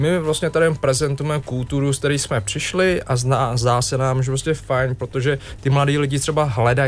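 A man with a normal speaking voice, fairly high in pitch, talking at a fairly quick pace with fairly even intonation. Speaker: NGO representative. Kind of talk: radio interview. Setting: radio studio.

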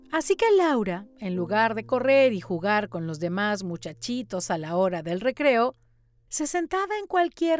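In a very clean recording with a silent background and a dry, close sound free of echo, a woman speaks fairly slowly at a medium pitch, her animated, warm tone making very wide pitch swings. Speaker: audiobook narrator. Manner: animated, expressive, warm storytelling pace with dramatic shifts.

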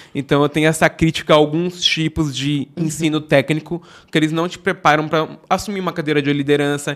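Speaking at a very fast pace, a man keeps a fairly high pitch in a monotone, flat delivery. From Brazil, São Paulo metro area (Osasco). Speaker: software developer. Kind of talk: casual chat. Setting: studio.

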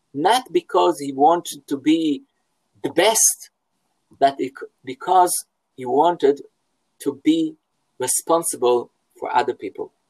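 Recorded with a dry, close sound and no echo, a man speaks with an Israeli accent. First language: Hebrew. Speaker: philosophy professor. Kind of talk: interview. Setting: at home, video call. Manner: halting.

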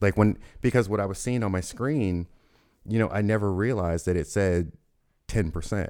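Taking long, frequent pauses, a man with a fairly low pitch and ordinary pitch variation speaks at a moderate pace on a very clean recording with a silent background. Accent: American. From US South, Louisville, Kentucky. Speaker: photographer. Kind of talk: casual interview. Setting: studio.

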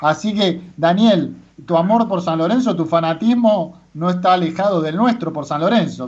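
Pitched high, a man's voice varies in an ordinary way as he talks. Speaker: radio host. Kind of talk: radio interview.

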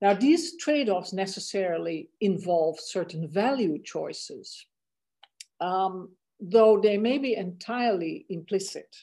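A woman's dark, mellow tone at medium pitch, with lively intonation, a fairly slow pace and a Dutch accent. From Netherlands (The Hague). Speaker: law and technology professor. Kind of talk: interview.

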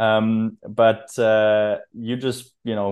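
A man's fairly low voice in a German accent, with monotone, flat intonation. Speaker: podcast host. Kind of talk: casual interview.

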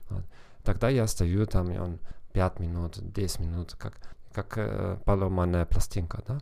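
A very deep, low, dark and mellow male voice in a German accent, ordinary pitch variation, a fairly slow pace with long, frequent pauses, on a very clean recording over a silent background. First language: German (speaking Russian). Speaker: psychologist and language teacher hosting a podcast. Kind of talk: podcast monologue. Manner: halting with fillers and self-corrections.

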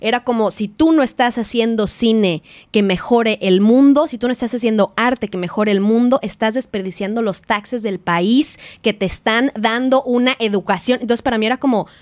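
A woman with a Mexican accent has a fairly high pitch and ordinary pitch variation on a dry, close recording with no echo. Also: moderate pace. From Mexico. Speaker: film producer. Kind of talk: casual chat.

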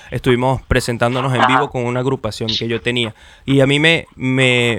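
A man with a Venezuelan accent at a moderate pace. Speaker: podcast host. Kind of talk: casual chat.

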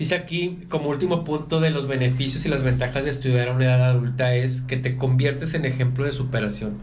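Audible room echo surrounds a man of medium pitch. He talks at a fairly quick pace with fairly even intonation. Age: 30s. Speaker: podcast host. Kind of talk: casual chat. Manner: halting.

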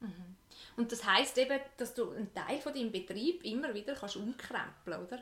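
A woman's fairly high voice with a Swiss accent, lively intonation and a moderate pace. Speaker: podcast host. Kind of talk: interview.

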